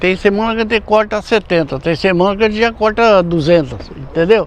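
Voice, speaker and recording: Fairly quick speech from a man with a high pitch and ordinary pitch variation, over noticeable background noise. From Brazil, rural São Paulo coast region. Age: 70s. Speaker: banana farmer. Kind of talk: interview. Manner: halting.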